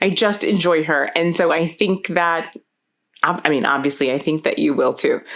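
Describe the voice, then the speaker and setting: A woman's ordinary speaking voice, fairly low in pitch, at a moderate pace with ordinary pitch variation and very even loudness. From South Florida. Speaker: podcast host. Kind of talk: podcast interview; reading guest intro.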